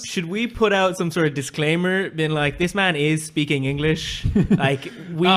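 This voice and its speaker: With an Irish accent, a man at a fairly high pitch talks at a moderate pace with ordinary pitch variation over noticeable background noise. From Shannon, County Clare, Ireland. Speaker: podcast guest.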